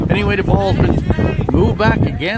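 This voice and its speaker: A man with a Newfoundland accent speaks at a fairly slow pace over noticeable background noise. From Newfoundland, St. Lawrence. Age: 60s. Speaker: amateur sports commentator and live streamer. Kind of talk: live commentary. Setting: outdoors at a sports field.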